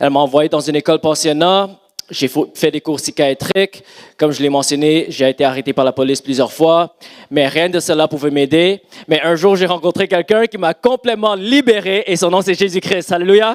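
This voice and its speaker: With an English accent, a man speaks in a high voice with ordinary pitch variation, the sound dry and close with no echo. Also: moderate pace. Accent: English-speaking accent in French. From Montreal, Canada. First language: English (speaking French). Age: 30s. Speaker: pastor. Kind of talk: sermon; testimony. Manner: halting.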